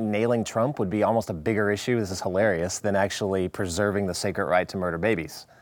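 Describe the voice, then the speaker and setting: This man, with an unremarkable speaking voice and fairly low pitch, talks at a fairly quick pace. The recording is very clean, with a silent background. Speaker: chief researcher for a talk show. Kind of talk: casual chat.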